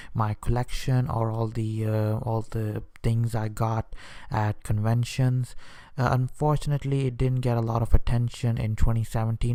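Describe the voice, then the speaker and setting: A man speaks at a moderate pace and medium pitch with a dark, mellow tone. His intonation stays flat and monotone. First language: Hindi/Urdu. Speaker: YouTube vlogger. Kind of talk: casual vlog talk to camera. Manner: hesitant, many fillers and restarts.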